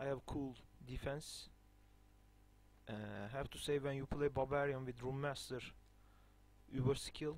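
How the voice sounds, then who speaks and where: Speaking fairly slowly with a non-native accent, a man keeps a medium pitch and a flat, monotone delivery, with long, frequent pauses. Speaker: video game guide maker. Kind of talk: gameplay tutorial. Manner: halting, many fillers.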